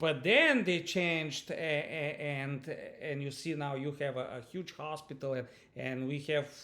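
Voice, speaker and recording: Through audible room echo, a man with a Bulgarian accent speaks at a fairly high pitch, with fairly even intonation, at a fairly slow pace. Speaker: university lecturer. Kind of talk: online lecture introduction. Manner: halting, many fillers and repetitions.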